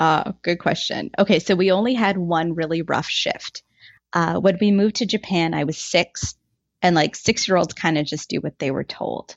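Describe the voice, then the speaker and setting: Here is a woman with an unremarkable speaking voice. Her pitch is fairly low and her pace moderate. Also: ordinary pitch variation. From Ottawa, Canada. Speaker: guest sharing her life story.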